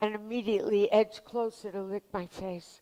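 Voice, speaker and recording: A woman at medium pitch, monotone and flat in intonation, at a moderate pace. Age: 70s. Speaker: playwright. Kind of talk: personal storytelling.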